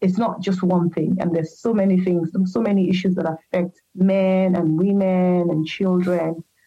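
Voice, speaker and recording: Music plays in the background as a woman speaks at a moderate pace. Her pitch is medium and her intonation fairly even. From Nigeria. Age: 40s. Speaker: patient sharing health story. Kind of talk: interview testimony. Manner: halting, many fillers.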